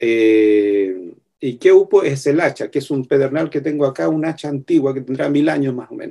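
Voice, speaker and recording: A man's dark, mellow tone at a fairly slow pace. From southern Chile, Mapuche territory. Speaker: filmmaker and visual artist. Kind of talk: interview. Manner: halting.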